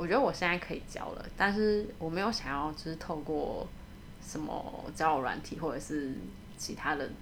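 Audible room echo surrounds a woman speaking at a moderate pace. Her very deep, low voice carries lively intonation. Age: 30s. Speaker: radiographer. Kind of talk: casual interview.

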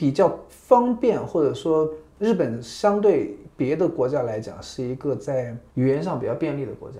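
A man with a fairly high pitch and a dark, mellow, somewhat breathy tone speaks at a moderate pace, his pitch swinging very widely. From mainland China. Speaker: journalist and visiting researcher. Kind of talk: interview conversation. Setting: on location in Tokyo.

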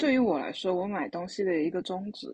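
At a moderate pace, a woman speaks somewhat breathily at a medium pitch. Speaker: podcast co-host. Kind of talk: casual chat.

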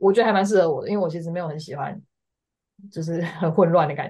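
Speaking at a very fast pace, a woman has a fairly low pitch, a dark, mellow tone, a somewhat breathy quality and ordinary pitch variation. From Taiwan. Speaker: graduate student. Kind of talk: casual interview.

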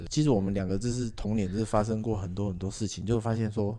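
Pitch shifts in an ordinary way. A dark, mellow tone colors the voice. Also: man. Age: middle-aged. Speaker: podcast host. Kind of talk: casual chat.

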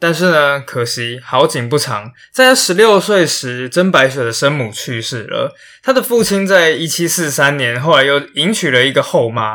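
With lively intonation and a fairly high pitch, a man speaks at a moderate pace in a very clean recording with a silent background. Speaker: history podcaster. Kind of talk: storytelling podcast narration. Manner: animated. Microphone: new microphone.

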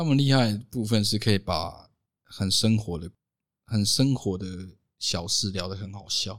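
A man at a fairly low pitch, with ordinary pitch variation, a fairly slow pace, long, frequent pauses and big swings in loudness, in a very clean recording with a silent background. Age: 20s. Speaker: owner of a photography and media company. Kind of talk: casual chat. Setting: recorded at the guest's home.

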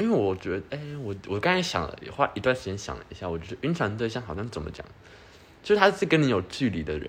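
Talking at a very fast pace, a man with a fairly low voice uses very wide pitch swings and big swings in loudness. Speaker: podcast co-host. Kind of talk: casual chat.

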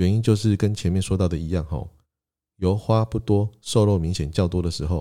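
In a very clean recording with a silent background, a man with a Taiwanese accent speaks at a moderate pace in a very deep, low pitch, his tone dark and mellow with ordinary pitch variation. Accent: Taiwanese Mandarin. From southern Taiwan (Tainan and Kaohsiung). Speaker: podcast host. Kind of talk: solo podcast monologue, alternating Taiwanese Hokkien and Mandarin.

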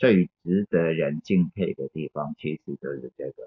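A man is speaking. His pace is fairly slow. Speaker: film teacher and critic. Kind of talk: casual film discussion. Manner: hesitant with many fillers. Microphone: phone recording.

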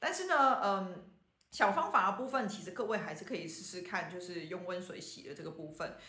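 Amid audible room echo, a woman talks fairly quickly at a medium pitch, her intonation lively and her loudness swinging widely. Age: 40s. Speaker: traditional Chinese medicine doctor. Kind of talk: podcast health talk. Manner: casual with many fillers.

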